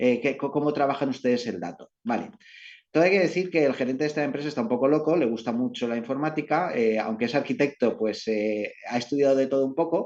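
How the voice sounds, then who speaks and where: Speaking at a fairly quick pace with lively intonation, the man has a fairly high pitch. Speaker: company representative presenting at business webinar. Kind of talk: presentation. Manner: fast.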